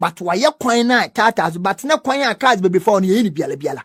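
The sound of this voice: On a very clean recording with a silent background, a man talks at a fairly quick pace, pitched high, with a fairly bright tone, a slightly husky edge and lively intonation.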